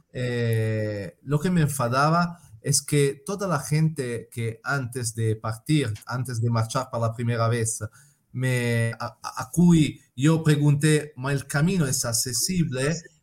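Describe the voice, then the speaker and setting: A man speaks at a very slow pace with an Italian accent. His voice is somewhat breathy. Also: medium pitch for a man, ordinary pitch variation. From Italy. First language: Italian (speaking Spanish). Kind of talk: interview. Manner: halting.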